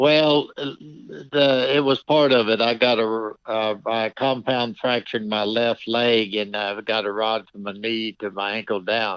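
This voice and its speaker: A man talks in a normal speaking voice at a medium pitch, with ordinary pitch variation. His pace is fairly slow, with hardly any pauses. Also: quiet background. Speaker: Hall of Fame horse trainer, former bull-riding champion, author. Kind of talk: interview answer, casual conversational.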